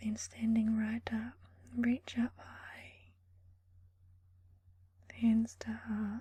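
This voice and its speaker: Very slow, soft-spoken speech broken by long, frequent pauses. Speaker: ASMR creator. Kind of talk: guided yoga session.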